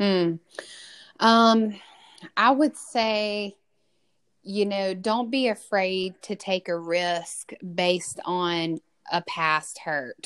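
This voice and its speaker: On a very clean recording with a silent background, a woman with a Southern US accent speaks at medium pitch and a very slow pace, leaving long, frequent pauses. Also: ordinary pitch variation, dry, close sound with no echo. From Mississippi. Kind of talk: casual interview chat.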